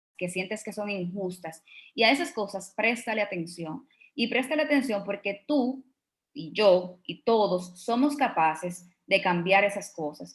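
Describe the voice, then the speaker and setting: A woman's medium-pitched, somewhat breathy voice with lively intonation at a fairly slow pace. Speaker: startup co-founder. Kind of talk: conference talk.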